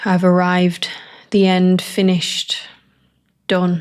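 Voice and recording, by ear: A woman with fairly low pitch speaks slowly in a clear, smooth, slightly mellow tone with monotone, flat intonation.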